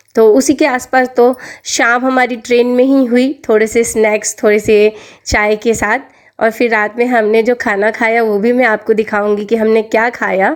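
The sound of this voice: With few pauses and little pitch movement, a woman speaks at a moderate pace in a fairly high pitch.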